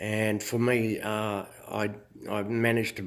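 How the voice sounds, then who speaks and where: This man speaks with an Australian accent at a medium pitch. His pace is very slow. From Australia, Queensland. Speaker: fitness instructor and self-help vlogger. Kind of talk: casual monologue. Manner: halting, many fillers.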